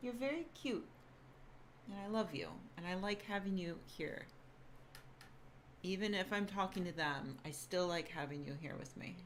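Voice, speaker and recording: A woman's quiet, medium-pitched voice at a fairly slow pace, with audible room echo. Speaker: YouTuber and science writer. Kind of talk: casual livestream chat. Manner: loud; trying to speak quietly.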